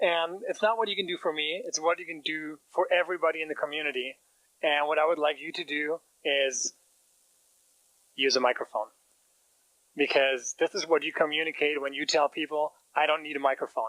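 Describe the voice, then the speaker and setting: A man talks at a fairly quick pace with a German accent. Long, frequent pauses break up his speech, and the sound is dry and close with no echo. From Germany. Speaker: startup founder. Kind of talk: business pitch presentation.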